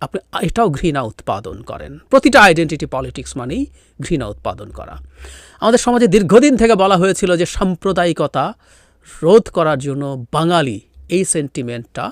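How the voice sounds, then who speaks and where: Recorded dry and close with no echo, a man with a high pitch shows very wide pitch swings and big swings in loudness. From Bangladesh, Rangamati hill district. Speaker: political commentator. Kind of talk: political commentary.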